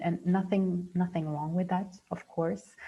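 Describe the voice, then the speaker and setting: With a non-native accent, a woman speaks in a dark, mellow tone and fairly even intonation. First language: not English. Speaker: dentist and mindfulness trainer. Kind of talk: webinar presentation. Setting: video call. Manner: halting, many fillers and repetitions.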